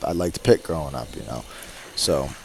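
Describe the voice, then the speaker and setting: A man with an American accent speaks at a fairly quick pace while noticeable background noise carries on. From New Jersey, USA. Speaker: wrestling color analyst, former college wrestler. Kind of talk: color commentary in a broadcast booth. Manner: casual, conversational.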